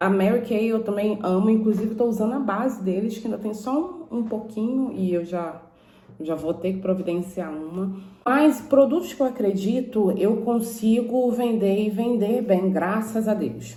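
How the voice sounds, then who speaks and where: A woman speaks at a fairly high pitch, with audible room echo. Noticeable background noise is also present. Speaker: YouTuber. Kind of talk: informational vlog. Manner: casual, conversational.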